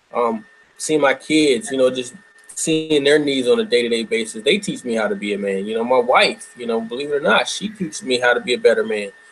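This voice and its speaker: A man talks at a fairly quick pace with lively intonation. There is noticeable background noise. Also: medium pitch for a man. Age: 30s. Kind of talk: panel discussion.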